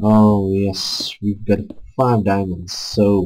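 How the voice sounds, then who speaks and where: A man with a Czech accent speaks in a fairly low, somewhat breathy voice. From Czech Republic. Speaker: gaming YouTuber. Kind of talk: gameplay commentary. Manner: halting, many filler sounds.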